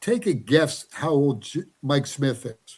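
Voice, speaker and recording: A man with a medium pitch and ordinary pitch variation sounds somewhat breathy. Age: 60s. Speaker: horse racing handicapper. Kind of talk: casual chat. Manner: repetitive, stammering.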